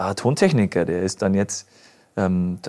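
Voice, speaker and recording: A man's voice with lively intonation. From Upper Bavaria. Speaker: musician. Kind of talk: casual interview. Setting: studio.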